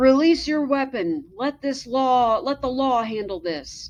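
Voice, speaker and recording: A booming, put-on character voice at a fairly high pitch and fairly slow pace. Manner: booming, commanding.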